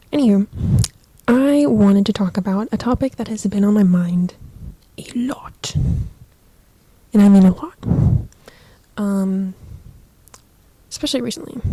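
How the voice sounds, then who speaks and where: Against noticeable background noise, a woman with an American accent speaks at medium pitch with ordinary pitch variation, big swings in loudness and long, frequent pauses. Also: moderate pace. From Southern California. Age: 20s. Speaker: podcaster. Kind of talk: casual chat. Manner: casual, filler-heavy. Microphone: cheap microphone.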